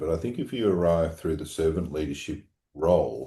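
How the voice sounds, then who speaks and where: A man's very deep, low voice with an Australian accent, dark and mellow in tone with vocal fry, ordinary pitch variation, a fairly quick pace and a quiet background. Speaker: obstetrician and medical college leader. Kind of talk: podcast interview.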